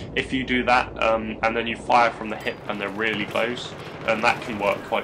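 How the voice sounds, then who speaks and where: A man's medium-pitched voice moves at a moderate pace against noticeable background noise. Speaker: gaming YouTuber. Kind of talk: gameplay tutorial commentary. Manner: hesitant, many fillers; mumbling.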